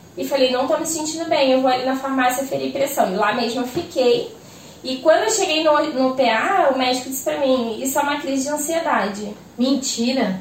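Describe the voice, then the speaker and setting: A woman talks at a moderate pace in a high pitch with ordinary pitch variation. The room echoes audibly, and background noise is noticeable. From Rio de Janeiro, Brazil. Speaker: small business owner, sweets and kits seller. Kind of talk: casual chat. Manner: animated.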